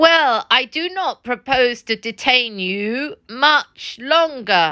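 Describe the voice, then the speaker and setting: Putting on a squeaky, high-pitched character voice, a woman speaks very slowly with very wide pitch swings, recorded dry and close with no echo against a silent background in a very clean recording. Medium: read story. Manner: mocking, self-satisfied.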